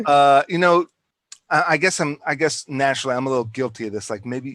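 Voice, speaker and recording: An American accent marks this man's ordinary speaking voice, fairly high in pitch with ordinary variation, delivered at a fairly quick pace in a dry, close sound with no echo. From Washington DC / Maryland / Virginia area. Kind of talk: casual chat.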